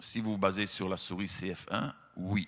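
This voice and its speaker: A man speaks with a Belgian accent at a fairly slow pace and a fairly low pitch. The recording is very clean with a silent background. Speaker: animal-rights association representative. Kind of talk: speech to lawmakers. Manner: hesitant, many fillers.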